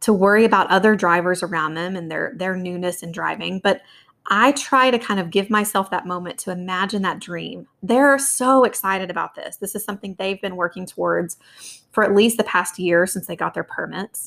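A woman talks at a fairly quick pace in a plain, everyday voice, her medium pitch showing ordinary pitch variation while her loudness swings widely. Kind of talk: guided visualization meditation.

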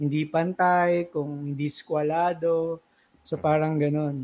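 A man with a high pitch speaks at a very slow pace and with fairly even intonation. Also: very clean recording, silent background. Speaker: graphic designer. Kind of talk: casual interview.

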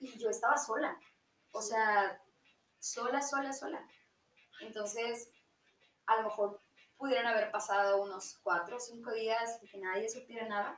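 A woman with a Mexican accent speaks at a fairly high pitch. Her intonation is fairly even, with long, frequent pauses. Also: fairly slow pace. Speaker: podcast guest. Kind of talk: casual chat.

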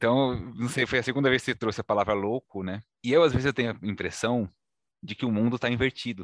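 A man's medium-pitched voice at a very fast pace, with ordinary pitch variation, a dry, close sound with no echo, and a quiet background. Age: 30s. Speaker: podcast host. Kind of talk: podcast interview.

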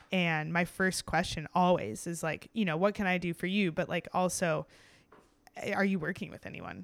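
A fairly low woman's voice with vocal fry, at a moderate pace with fairly even intonation. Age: 20s. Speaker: pro cyclist. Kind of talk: interview. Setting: on location at a race venue.

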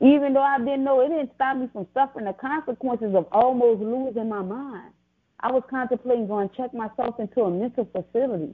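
This woman has a New Orleans accent and a high pitch with ordinary variation. She talks at a fairly quick pace. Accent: New Orleans Southern American. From US South, New Orleans, Louisiana. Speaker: author and business owner. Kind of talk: testimony.

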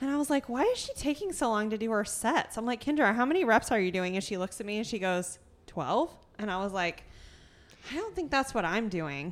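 Loud and at a fairly quick pace, a woman speaks with very wide pitch swings. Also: fairly high pitch for a woman. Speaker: podcast host and gym coach. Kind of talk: casual chat. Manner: loud, talkative.

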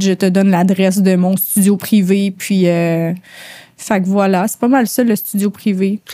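Her voice has a medium pitch and a dark, mellow tone, and her intonation stays monotone and flat. The woman talks at a very slow pace, with a dry, close sound and no echo. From Quebec, suburbs of Montreal. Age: 30s. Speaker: tattoo artist. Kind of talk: casual interview chat.

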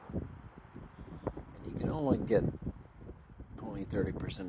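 The speaker has an American accent. Noticeable background noise can be heard. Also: man. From Texas. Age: 70s. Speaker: vlogger. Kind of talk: casual monologue. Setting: outdoors.

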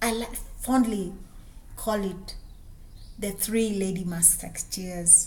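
A very slow delivery with a Kenyan accent, long and frequent pauses, fairly even intonation and noticeable background noise. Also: woman, medium pitch for a woman. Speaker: businesswoman and podcaster. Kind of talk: personal storytelling monologue.

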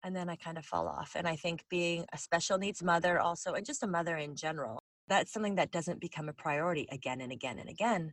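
A woman talks at a fairly quick pace in an unremarkable speaking voice. Her pitch is fairly low, with ordinary variation. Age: 40s. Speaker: podcast host. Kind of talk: scripted narration; casual interview.

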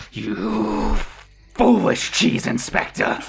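A man's put-on character voice, fairly low, raspy and growling, with a menacing tone. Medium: actual play. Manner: menacing, contemptuous.

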